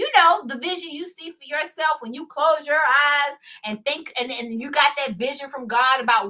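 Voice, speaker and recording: In a raised, projected voice, a woman with an American accent sounds animated, with a bright, sharp tone. Her pace is fairly slow, with ordinary pitch variation. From US South, Houston, Texas. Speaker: lawyer and online show host. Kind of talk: live stream monologue. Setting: live stream. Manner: loud.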